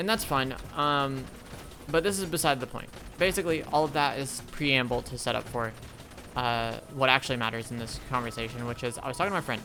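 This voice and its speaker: Music plays behind a man who talks at a fairly quick pace with ordinary pitch variation. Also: medium pitch for a man. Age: 20s. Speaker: gaming streamer / video creator. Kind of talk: casual monologue while gaming. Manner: halting, many pauses.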